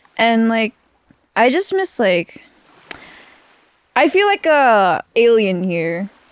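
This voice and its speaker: A woman with a Filipino accent speaks at a very slow pace with long, frequent pauses. Her fairly high pitch makes very wide swings in a dry, close sound with no echo. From Philippines. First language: Filipino language. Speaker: podcast co-host. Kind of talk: casual chat. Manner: hesitant, many fillers.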